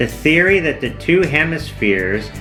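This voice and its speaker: Music can be heard in the background. Against it, a man talks at a moderate pace. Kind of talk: educational documentary narration.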